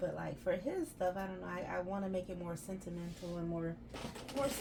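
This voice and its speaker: A voice in a Southern US accent with audible room echo. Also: woman. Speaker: crafter and small business owner. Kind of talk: crafting tutorial vlog. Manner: casual, chatty.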